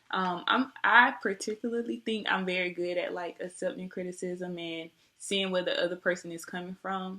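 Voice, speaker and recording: A soft-spoken woman of medium pitch, bright and sharp in tone, with ordinary pitch variation and a moderate pace. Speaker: nursing job applicant. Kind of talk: job interview. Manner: polite, formal. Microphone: webcam recording, poor quality.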